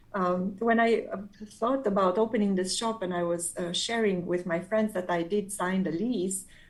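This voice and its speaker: A woman speaks at a moderate pace with medium pitch, fairly even intonation and a non-native accent. Audible room echo surrounds her voice. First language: not English. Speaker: quilter and pattern designer. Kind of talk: casual interview chat. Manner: halting, frequent fillers and restarts.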